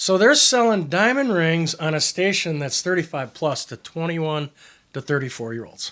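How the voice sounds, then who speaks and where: This man has a high pitch, a bright, sharp tone and lively intonation, and he speaks at a moderate pace. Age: 60s. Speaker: advertising consultant. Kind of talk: casual chat.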